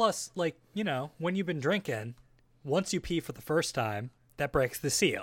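A man's fairly high voice, animated in tone and fairly slow in pace, on a very clean recording with a silent background. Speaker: podcast co-host. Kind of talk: casual banter. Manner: animated, joking.

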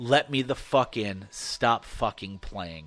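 Putting on a character voice, a man speaks fairly slowly at a medium pitch. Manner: halting; aggressive, demanding.

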